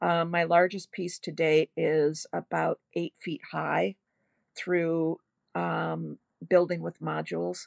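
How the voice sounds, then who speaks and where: Very slowly, a woman speaks in a dry, close sound with no echo over a quiet background. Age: 70s. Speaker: textile artist. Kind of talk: radio interview.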